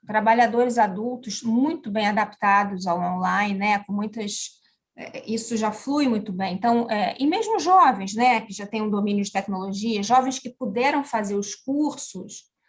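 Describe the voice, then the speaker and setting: Speaking at a fairly slow pace, a woman with a fairly high pitch shows ordinary pitch variation and big swings in loudness. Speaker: education manager. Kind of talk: interview. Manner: talkative.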